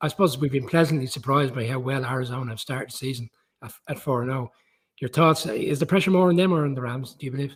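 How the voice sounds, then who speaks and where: A man with an Irish accent speaks at a very fast pace in a medium pitch, with ordinary pitch variation. His voice is somewhat breathy, and his loudness swings widely. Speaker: football pundit. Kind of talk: casual chat.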